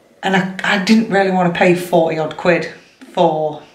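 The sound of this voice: With audible room echo, a woman speaks slowly in fairly even intonation.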